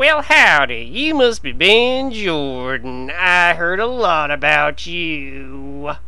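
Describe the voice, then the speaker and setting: Very slow delivery in a man's put-on character voice. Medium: game stream. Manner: folksy, gloating.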